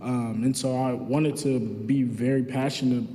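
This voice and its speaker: Noticeable background noise and audible room echo surround a man who speaks in a medium pitch with an American accent and a monotone, flat intonation. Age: 20s. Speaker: community economic development manager. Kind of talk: graduation speech. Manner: casual, halting with fillers.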